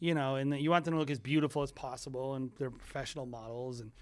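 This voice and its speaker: The speaker talks at a very fast pace with ordinary pitch variation, recorded very cleanly against a silent background. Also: man. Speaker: podcast co-host, wedding filmmaker. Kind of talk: casual podcast chat. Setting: studio.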